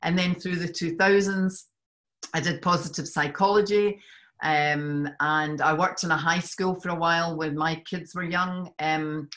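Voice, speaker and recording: The voice has a slight Scottish accent and monotone, flat intonation at a fairly slow pace. The recording is very clean, with a silent background. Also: woman, fairly low pitch for a woman. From Scotland. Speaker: life coach. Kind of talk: podcast interview.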